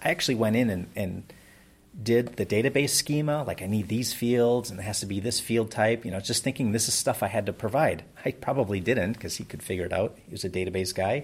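With an American accent, a man of medium pitch talks fairly quickly in a somewhat breathy voice with ordinary pitch variation. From Wisconsin, Door County. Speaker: web business founder. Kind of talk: interview.

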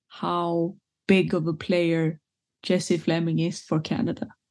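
In a Swedish accent, a woman speaks at a fairly slow pace. Her tone is dark and mellow. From Sweden. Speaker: football pundit. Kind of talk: casual chat.

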